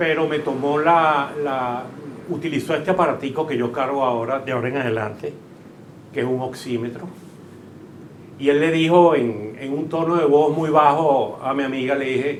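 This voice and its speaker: The voice holds a fairly even intonation at a moderate pace. Audible room echo and noticeable background noise come through. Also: man, fairly high pitch for a man. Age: 70s. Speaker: shopkeeper, covid survivor. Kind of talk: testimony.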